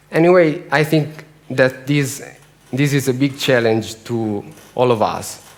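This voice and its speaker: Speech with an Italian accent at a fairly slow pace, ordinary pitch variation, audible room echo and noticeable background noise. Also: man, medium pitch for a man. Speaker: bat conservation researcher. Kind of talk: conference talk. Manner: halting.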